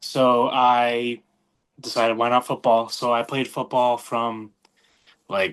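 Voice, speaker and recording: Moderate pacing from a male speaker. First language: not English. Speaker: professional wrestler. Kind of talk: podcast interview. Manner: halting, many fillers and repeated words.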